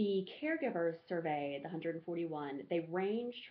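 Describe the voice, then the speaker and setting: Lively intonation marks this voice, which has an Alabama accent and moves at a moderate pace. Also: woman. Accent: Southern US (Alabama). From US South, rural Alabama. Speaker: graduate student. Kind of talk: class presentation. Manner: halting, many fillers.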